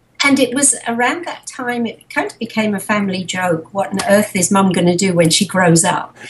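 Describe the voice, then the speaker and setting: With an English accent and lively intonation, a woman of medium pitch speaks at a moderate pace over noticeable background noise. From England, Harrow. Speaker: animal sanctuary founder. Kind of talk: interview.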